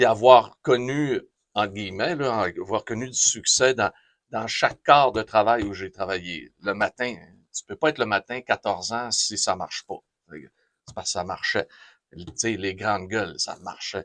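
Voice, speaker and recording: Speaking with a Quebec accent, a man talks at a fairly slow pace with big swings in loudness. The sound is dry and close, with no echo. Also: medium pitch for a man, ordinary pitch variation. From Quebec, Saguenay-Lac-Saint-Jean. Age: 60s. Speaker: radio host. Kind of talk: interview. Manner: animated.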